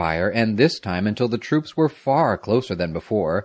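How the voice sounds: A natural reading voice carries the passage.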